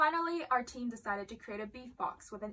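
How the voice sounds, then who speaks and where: A woman's bright, sharp voice with lively intonation at a fairly quick pace. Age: young. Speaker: student vlogger. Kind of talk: reading aloud; casual chat.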